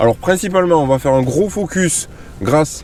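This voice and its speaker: Noticeable background noise is present. Against it, a man's intonation rises and falls in a lively way. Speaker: fishing YouTuber. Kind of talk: casual vlog narration. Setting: outdoors on a boat on a lake.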